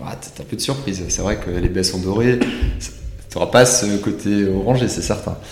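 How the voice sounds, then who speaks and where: A man speaks at a moderate pace with lively intonation and a fairly low pitch. Music plays in the background, and the room echo is audible. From Alsace. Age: 30s. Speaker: winemaker. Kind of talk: casual chat.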